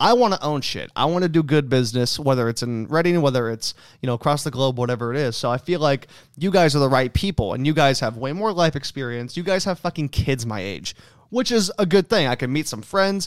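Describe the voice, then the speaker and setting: Using a plain, everyday voice, a man speaks at a fairly quick pace with a fairly high pitch. His intonation is lively, and the sound is dry and close with no echo. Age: 20s. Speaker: podcast host. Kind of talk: casual chat.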